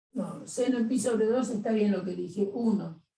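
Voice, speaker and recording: A fairly high-pitched woman's voice, somewhat breathy and dark and mellow in tone, with ordinary pitch variation. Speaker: math teacher. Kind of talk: lecture.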